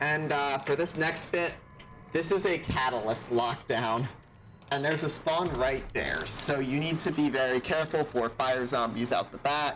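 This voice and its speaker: The speaker talks at a moderate pace. Noticeable background noise runs underneath. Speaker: gaming content creator. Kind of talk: gameplay commentary. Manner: casual, filler-heavy.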